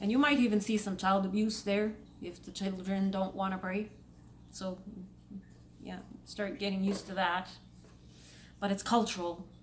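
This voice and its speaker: A woman speaks at a moderate pace in a medium pitch with fairly even intonation. Long, frequent pauses and audible room echo mark the clip. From Saudi Arabia. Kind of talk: casual commentary vlog.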